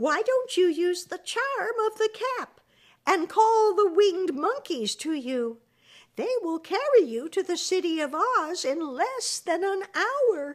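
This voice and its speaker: Using a put-on character voice, a woman speaks at a fairly slow pace in an extremely high, squeaky pitch. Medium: read story.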